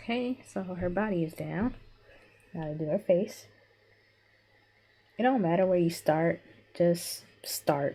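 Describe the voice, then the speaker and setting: Quiet and fairly slow, a woman speaks in a dark, mellow tone with a fairly low pitch. Her pitch variation is ordinary, and she leaves long, frequent pauses. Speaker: digital artist. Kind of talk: drawing tutorial with commentary.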